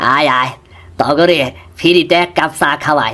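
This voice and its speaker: A man puts on a cartoonish character voice, fairly high in pitch, delivered at a moderate pace. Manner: homely, folksy advice-giving.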